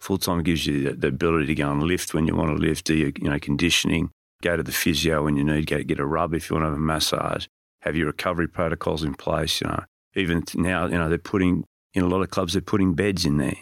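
In an Australian accent, a man with a very deep, low pitch talks at a very fast pace with fairly even intonation and very even loudness, on a very clean recording with a silent background and a dry, close sound with no echo. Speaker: strength and conditioning coach. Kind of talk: casual interview.

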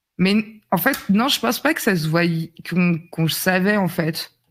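At a very slow pace, a woman with a fairly low pitch and ordinary pitch variation speaks in a very clean recording with a silent background. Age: 30s. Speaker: streamer. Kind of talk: casual chat.

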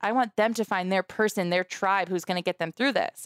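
The woman's tone is animated. Her voice is medium in pitch, with ordinary pitch variation. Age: 20s. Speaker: cancer previvor and nonprofit founder. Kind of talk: interview.

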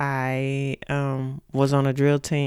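A woman speaks in an East Texas accent. Her pitch is very deep and low. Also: very clean recording, silent background. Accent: East Texas Southern US. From Texas, Mount Pleasant. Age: 40s. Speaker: podcast host's mother. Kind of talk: casual interview about life story.

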